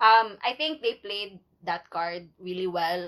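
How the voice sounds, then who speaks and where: A woman is speaking. She has a Cebuano accent. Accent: Cebuano Filipino English. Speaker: podcast co-host. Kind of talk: casual chat.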